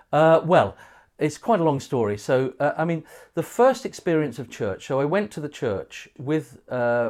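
A man's fairly high-pitched, lively speech in a southern English accent, on a very clean recording with a silent background. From southern England, Windsor area. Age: 50s. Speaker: pastor. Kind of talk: casual interview.

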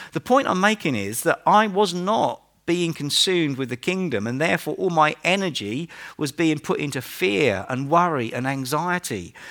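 A man with an East Anglian accent speaks at a moderate pace with a fairly high pitch and very wide pitch swings. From Norfolk, England. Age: 50s. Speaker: pastor. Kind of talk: sermon. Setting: church.

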